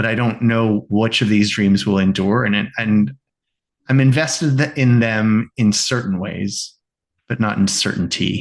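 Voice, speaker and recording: A man with a plain, everyday voice speaks at a fairly low pitch. He goes at a fairly slow pace with ordinary pitch variation. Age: 50s. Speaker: rabbi and creativity coach. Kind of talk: podcast interview.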